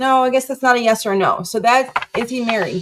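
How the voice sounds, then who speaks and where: This woman's voice sits fairly high in pitch. Its pitch varies in an ordinary way. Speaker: tarot reader. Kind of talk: live tarot reading. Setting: live stream. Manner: fast.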